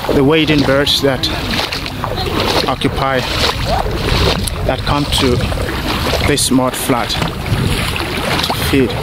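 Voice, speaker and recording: Loud background noise surrounds a man talking at a very slow pace. He leaves long, frequent pauses. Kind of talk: explanatory field commentary. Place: boat. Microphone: phone near.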